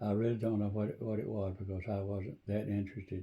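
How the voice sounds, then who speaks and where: Somewhat breathy and dark, mellow in tone, a man's fairly low voice moves at a fairly quick pace with monotone, flat intonation. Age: 80s+. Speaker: church member. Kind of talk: interview answer.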